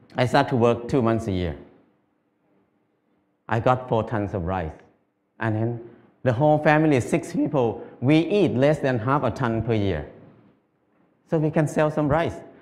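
A man at a moderate pace, with long, frequent pauses. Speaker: speaker. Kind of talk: public talk. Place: stage. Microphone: headset.

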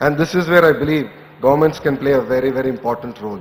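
A man speaks at a very fast pace, his pitch varying in an ordinary way. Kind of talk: speech. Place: hall. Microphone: podium.

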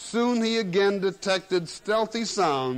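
Ordinary pitch variation in plain reading aloud.

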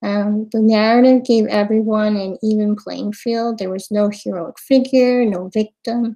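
Against a quiet background, a woman with an American accent talks at a moderate pace, her fairly high pitch carrying a dark, mellow tone and monotone, flat intonation. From US, Queens, New York; New York. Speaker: event moderator presenting slides. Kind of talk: webinar presentation. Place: home room. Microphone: webcam.

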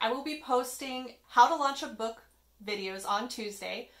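Her pitch high, a woman talks at a moderate pace. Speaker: author vlogger. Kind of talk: casual vlog chat. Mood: friendly, self-deprecating. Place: home room. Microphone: phone near.

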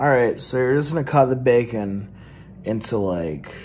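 Light background noise behind a man at a moderate pace. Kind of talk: casual cooking tutorial chat. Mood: relaxed, joking. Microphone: phone near.

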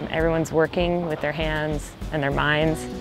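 A woman at a fairly quick pace, ordinary pitch variation, dry sound with no echo, clear music in the background. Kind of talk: interview answer. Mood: warm, reflective.

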